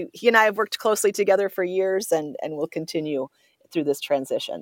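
A woman with an Upper Midwest accent, medium pitch, ordinary pitch variation and a fairly quick pace. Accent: Upper Midwest American. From Minnesota, Twin Cities north metro. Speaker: state fair executive. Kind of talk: radio interview. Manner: halting.

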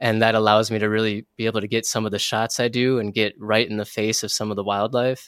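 Delivered very fast with an American accent and hardly any pauses, the flat, monotone speech sits on a very clean recording with a silent background. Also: man, medium pitch for a man. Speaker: wildlife photographer. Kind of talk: interview.

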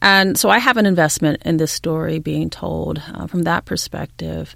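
The speaker is a woman with a Californian accent. She keeps to a moderate speed. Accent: General American (Californian). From California, US (San Diego). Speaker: historian. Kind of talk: interview.

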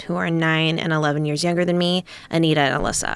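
An unremarkable speaking voice from a woman with an American accent, fairly low in pitch, at a fairly quick pace with fairly even intonation. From Minnesota (Eagan, Twin Cities suburb). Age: 30s. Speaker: comedian and actor. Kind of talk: interview.

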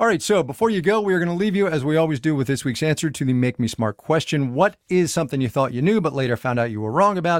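Very fast and lively in intonation, a man with a fairly high voice speaks in a very clean recording over a silent background. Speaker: podcast host. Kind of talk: casual interview.

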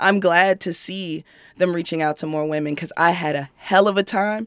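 In a very clean recording with a silent background, an unremarkable speaking voice with an American accent moves at a fairly quick pace with fairly even intonation. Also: woman. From Chicago. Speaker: rapper. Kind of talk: interview.

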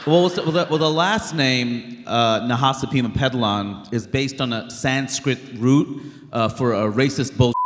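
Noticeable background noise and audible room echo surround a man with an American accent who speaks at a moderate pace with ordinary pitch variation. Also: medium pitch for a man, hardly any pauses. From Queens, New York. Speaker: comedian and documentary filmmaker. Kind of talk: live interview on stage. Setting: stage with audience.

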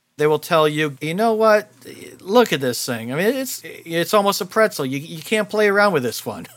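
This man has an American accent and a high pitch. He speaks at a moderate pace with very wide pitch swings. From New Jersey. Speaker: auto salvage industry expert. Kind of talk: interview.

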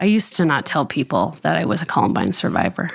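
In a very clean recording with a silent background, a woman with vocal fry speaks fairly quickly in a very deep, low voice. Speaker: school shooting survivor. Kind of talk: testimony.

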